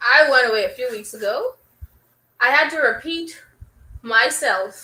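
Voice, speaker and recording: In a Bahamian accent, a woman projects a raised voice with a bright, sharp tone at a fairly slow pace. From Bahamas. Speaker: DJ. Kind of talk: casual chat.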